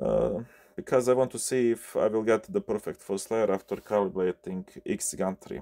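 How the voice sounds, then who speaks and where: A man with a Bosnian accent at a moderate pace, in dry, close sound with no echo. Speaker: 3D printer repair technician. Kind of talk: tutorial. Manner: halting, many fillers.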